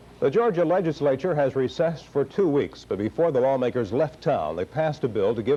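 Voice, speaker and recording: Lively intonation marks a man's fairly high, unremarkable speaking voice. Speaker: television news anchor. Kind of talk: TV news anchor delivery.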